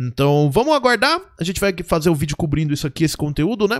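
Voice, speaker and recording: Against a quiet background, a man with a fairly high pitch speaks at a fairly quick pace in an animated tone. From Brazil, Santo André, São Paulo (ABC region). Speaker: gaming youtuber and streamer. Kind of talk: live gameplay commentary. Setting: live stream at home. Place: home room. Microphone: headset.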